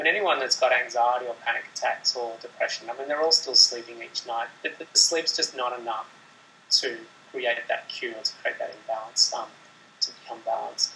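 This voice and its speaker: Speaking at a fairly quick pace with an Australian accent, a man swings widely in loudness over noticeable background noise. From Sydney, Australia. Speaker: meditation teacher. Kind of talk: interview answer, explanatory talk about meditation.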